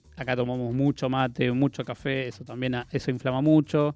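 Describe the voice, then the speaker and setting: Over music in the background, a man talks at a fairly quick pace with a medium pitch and fairly even intonation. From Argentina, Patagonia (Chubut). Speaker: proctologist. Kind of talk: radio interview. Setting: radio studio.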